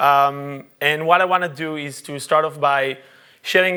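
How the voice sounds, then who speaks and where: A man with an Israeli accent speaks at a moderate pace in a bright, sharp tone with fairly even intonation, on a very clean recording with a silent background. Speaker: UX researcher. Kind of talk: conference talk. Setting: stage with audience. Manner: halting, many fillers.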